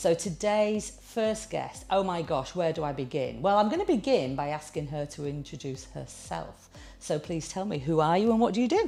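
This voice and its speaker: A woman speaks with a northern English accent. Her pace is moderate. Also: hardly any pauses. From northern England. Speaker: interviewer. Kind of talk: interview.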